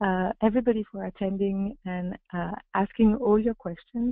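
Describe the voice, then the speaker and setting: Recorded dry with no echo against a quiet background, a woman speaks at a medium pitch. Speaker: webinar moderator. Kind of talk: webinar moderation. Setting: video call. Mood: hesitant, friendly. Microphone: video call.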